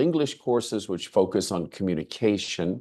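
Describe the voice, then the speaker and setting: Against a quiet background, a man with an American accent speaks at a moderate pace in a fairly low voice. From United States. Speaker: English language lecturer and teacher. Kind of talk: webinar presentation. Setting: video call. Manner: halting, with fillers.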